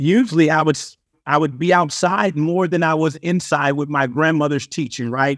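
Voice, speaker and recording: A man's fairly high voice at a moderate pace, dry and close with no echo, in a very clean recording with a silent background. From Compton, California. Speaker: author and motivational speaker. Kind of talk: casual interview chat. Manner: intense.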